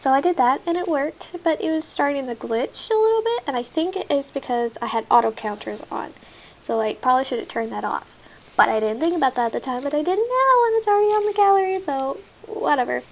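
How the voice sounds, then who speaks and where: Talking very fast in an American accent, a woman uses a high pitch with very wide pitch swings over noticeable background noise. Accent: occasional country Texas. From Texas. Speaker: gaming YouTuber. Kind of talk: gameplay commentary. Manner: talkative.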